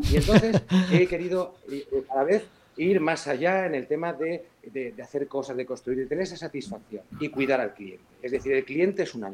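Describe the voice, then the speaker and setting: An ordinary speaking voice at a fairly quick pace, with big swings in loudness. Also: man, fairly high pitch for a man. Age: 50s. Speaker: building surveyor and builder. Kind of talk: interview; role-play sales call.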